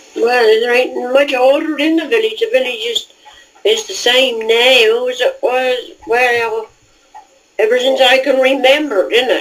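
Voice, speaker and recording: A woman with a South East England accent talks at a fairly slow pace in a high pitch. Noticeable background noise runs underneath. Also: ordinary pitch variation. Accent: traditional rural South East England dialect. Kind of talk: casual conversation.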